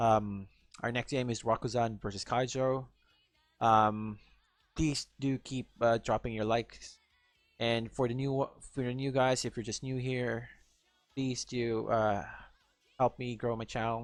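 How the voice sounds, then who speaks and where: With music in the background, a man with a Filipino accent speaks at a medium pitch and a fairly slow pace, his intonation monotone and flat, with long, frequent pauses. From Philippines. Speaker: gaming YouTuber. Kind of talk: casual video outro talk. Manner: halting, many fillers.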